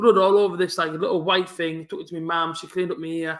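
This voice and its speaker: With a strong Teesside accent, a man speaks at a very fast pace. His pitch is high. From northern England. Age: 20s. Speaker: football fan streamer. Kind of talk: live football watch-along chat.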